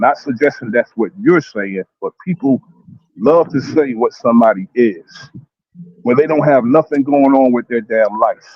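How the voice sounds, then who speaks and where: A man with an ordinary speaking voice and medium pitch talks at a moderate pace with ordinary pitch variation. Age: 50s. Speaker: panelist. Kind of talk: heated debate.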